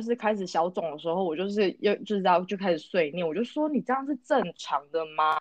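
At a fairly quick pace, a woman with an unremarkable speaking voice talks at a medium pitch, the sound dry and close with no echo. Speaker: podcast co-host. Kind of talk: casual chat.

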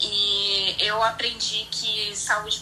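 Over noticeable background noise and audible room echo, a woman speaks with a Rio de Janeiro accent at a fairly high pitch. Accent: carioca. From Rio de Janeiro, Brazil. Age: 30s. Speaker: airline worker. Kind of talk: casual chat.

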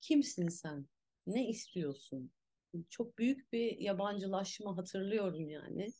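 A woman speaks very slowly in a dark, mellow tone. Her voice is somewhat breathy, with lively intonation. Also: medium pitch for a woman. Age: 40s. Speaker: actress and movement teacher. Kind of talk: casual chat. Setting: at home.

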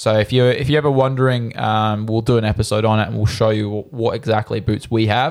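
Over a very clean recording with a silent background, a man with an Australian accent speaks at a medium pitch, very fast and with hardly any pauses, his intonation fairly even. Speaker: goalkeeper podcast co-host. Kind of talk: casual chat.

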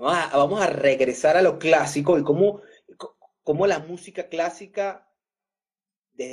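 Pausing long and often, a man with a fairly high pitch talks at a moderate pace, his pitch varying in an ordinary way and his loudness swinging widely. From Venezuela. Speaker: podcast host and production company co-owner. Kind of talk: casual interview chat. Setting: live stream.

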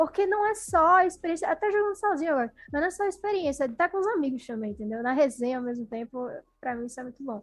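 Very fast and high-pitched, a woman talks with very wide pitch swings and big swings in loudness. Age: 20s. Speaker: journalism student and sports commentator. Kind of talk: casual chat.

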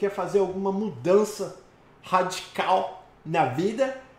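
Noticeable background noise sits behind this recording. A man with a Brazilian accent speaks at a high pitch. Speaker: live stream host and immigration consultant. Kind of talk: live call-in Q&A, casual. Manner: animated, joking.

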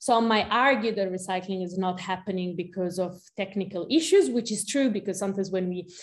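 With an Italian accent, a woman speaks in fairly even intonation. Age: 30s. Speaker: researcher and activist. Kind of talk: interview.

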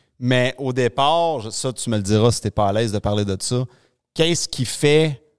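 A man with a Quebec accent at a fairly slow pace, medium in pitch with ordinary pitch variation, in a dry, close sound with no echo. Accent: Québécois French. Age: 40s. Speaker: podcast host. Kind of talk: casual interview chat. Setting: studio. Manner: halting.

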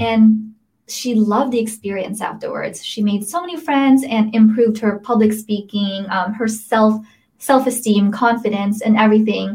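A fairly high, somewhat breathy woman's voice in a General American accent, fairly even intonation and a moderate pace. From Las Vegas, Nevada (born in Philippines). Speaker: startup founder and CEO. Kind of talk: interview. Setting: video livestream.

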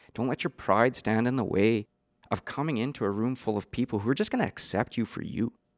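On a very clean recording with a silent background, a man with a western Canadian accent and medium pitch speaks at a very fast pace with ordinary pitch variation. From Canada, east central Alberta. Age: 30s. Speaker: recovering addict sharing his story. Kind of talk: testimony. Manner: talkative.

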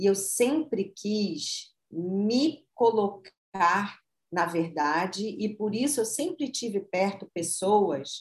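A woman talks at a medium pitch, her intonation lively. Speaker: marketing consultant and author. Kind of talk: interview, personal story.

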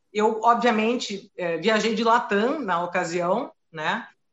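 This woman talks very slowly in a fairly high voice. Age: 40s. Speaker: flight attendant. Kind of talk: live stream interview.

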